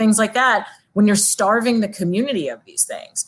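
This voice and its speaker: A woman's fairly high, somewhat breathy voice with an American accent and ordinary pitch variation, over a quiet background. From Long Island, New York. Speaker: city council candidate. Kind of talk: interview.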